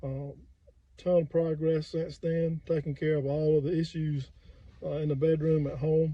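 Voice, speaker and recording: A man talks with an American accent in a fairly high voice. His intonation stays monotone and flat. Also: moderate pace. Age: 60s. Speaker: firefighter. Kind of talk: customer testimonial. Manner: casual, hesitant.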